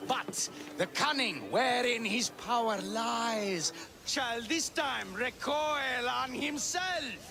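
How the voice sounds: In a put-on character voice with vocal fry and a bright, sharp tone, the speaker goes at a slow pace with long, frequent pauses and ordinary pitch variation over faint background noise. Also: man, extremely high pitch for a man.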